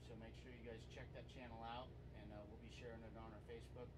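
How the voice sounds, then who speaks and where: A man's voice over loud background noise. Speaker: podcast host. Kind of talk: interview host chat.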